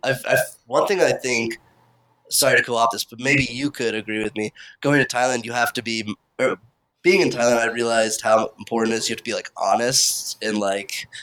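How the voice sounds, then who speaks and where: In an American accent, a man speaks at a fairly quick pace with a medium pitch, ordinary pitch variation and a bright, sharp tone. The recording is very clean with a silent background, and the sound is dry and close with no echo. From Kansas, US. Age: 20s. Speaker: interviewer, friend of host. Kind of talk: casual interview.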